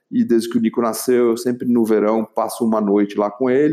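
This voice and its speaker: Over a quiet background, a man talks at a medium pitch in a dark, mellow tone. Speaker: entrepreneur, facilitator for leaders. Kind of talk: interview storytelling.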